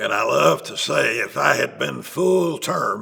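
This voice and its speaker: A man talks with an Appalachian accent. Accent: Southern US (Appalachian). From East Tennessee / Holston region, US South. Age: 80s+. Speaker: retired bishop. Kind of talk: interview. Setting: sit-down interview in Chattanooga.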